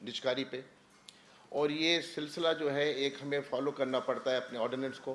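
Fairly even intonation is heard over light background noise. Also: man. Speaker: government minister. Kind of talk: press conference statement. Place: hall. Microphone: podium.

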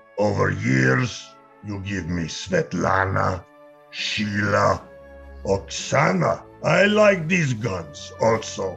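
Clear music plays in the background. Someone performs a put-on character voice at a very slow pace. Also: man, fairly low pitch for a man. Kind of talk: audio drama reading. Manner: slow, broken English.

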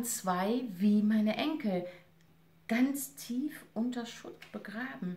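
A woman speaks in a solemn tone. Her pitch swings very widely. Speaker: actress and reader. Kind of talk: literary audiobook reading, essay read aloud. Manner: measured, solemn, expressive reading with emotional weight. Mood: serious, reflective. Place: home room. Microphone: camera far.

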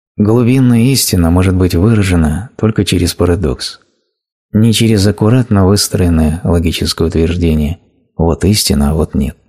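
A man speaks with a very deep, low pitch and ordinary pitch variation. His voice is somewhat breathy, and his pace is moderate. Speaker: voice-over narrator of a translated spiritual talk. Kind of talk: reading aloud a translated spiritual lecture.

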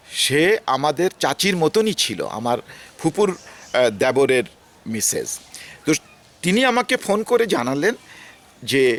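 Recorded with a dry, close sound and no echo, a man with a fairly high pitch makes very wide pitch swings. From Bangladesh, Rajbari district. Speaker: retired development consultant and foundation founder. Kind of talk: personal reminiscence. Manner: halting.

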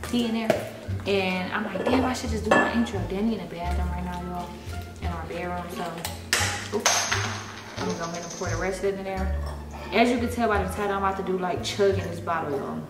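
A woman at a fairly quick pace, with clear music in the background. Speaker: vlogger. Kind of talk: casual vlog chat. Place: kitchen. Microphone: phone near.

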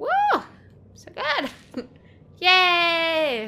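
A woman's extremely high voice, bright and sharp, with big pitch swings at a very slow pace

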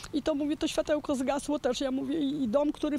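A high-pitched woman talking at a very fast pace in a flat monotone, dry sound with no echo, light noise in the background. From Poland, Kłodzko Valley; Poland. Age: 60s. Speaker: flood victim. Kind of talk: interview. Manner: halting. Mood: sad, shaken, emotional. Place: open country. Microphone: handheld.

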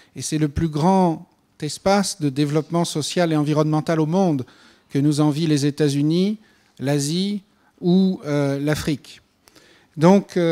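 A man's dark, mellow voice, fairly high for a man, at a fairly slow pace against a quiet background. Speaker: panel speaker on GMO regulation; speaker. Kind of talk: panel discussion answer. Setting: conference hall with audience. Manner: hesitant with fillers. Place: hall. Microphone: handheld.

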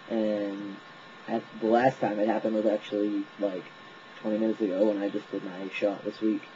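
A fairly low-pitched man at a fairly quick pace, monotone and flat, with light background noise. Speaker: vlogger sharing a personal transition update. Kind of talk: casual talk to camera. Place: home room. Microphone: webcam.

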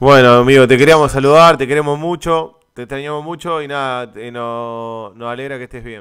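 In a Uruguayan accent, a man speaks at a moderate pace with hardly any pauses and a medium pitch. His loudness swings widely while his intonation remains fairly even. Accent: Rioplatense Spanish (Uruguayan). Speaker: gaming streamer. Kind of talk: casual chat. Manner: mock play-by-play commentary.

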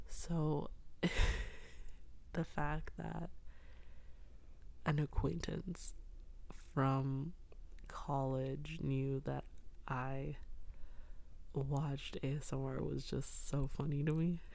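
The voice is soft-spoken and very slow. Long pauses come often. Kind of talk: soft-spoken ASMR storytelling to camera.

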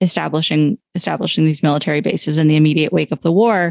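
A woman's very deep, low voice with an American accent, in a dry, close sound with no echo. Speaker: journalist. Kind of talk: casual chat.

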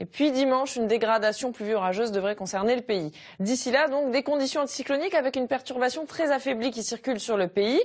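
Very fast in pace, a woman speaks at a high pitch with ordinary pitch variation. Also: quiet background. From France. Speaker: weather presenter. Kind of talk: TV weather forecast, scripted broadcast delivery. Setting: TV studio. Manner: formal, steady, clear and measured. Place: studio. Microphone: lapel.

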